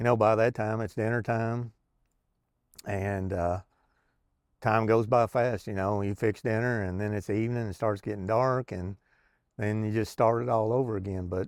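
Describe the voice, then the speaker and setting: A man with a Kentucky accent speaks in a fairly low, monotone, flat voice with long, frequent pauses, on a very clean recording with a silent background. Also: moderate pace. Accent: Southern US (Kentucky). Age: 60s. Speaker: retired truck driver, vlogger. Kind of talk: casual vlog monologue. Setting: outdoors on back porch. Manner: halting, many fillers.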